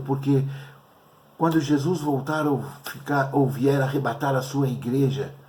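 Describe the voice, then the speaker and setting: There is audible room echo as a man talks at a fairly slow pace in a somewhat breathy voice. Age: 60s. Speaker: pastor. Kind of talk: sermon. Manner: halting.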